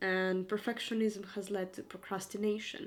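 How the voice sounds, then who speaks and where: A woman with a non-native accent speaks at medium pitch and a moderate pace in a monotone, flat intonation. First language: not English. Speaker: vlogger. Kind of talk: casual vlog monologue. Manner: rambling, hesitant.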